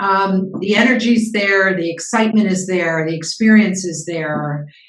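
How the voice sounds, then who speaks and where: Amid audible room echo, a woman of medium pitch talks at a moderate pace with fairly even intonation. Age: 70s. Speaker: business founder and CEO coach. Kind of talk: interview.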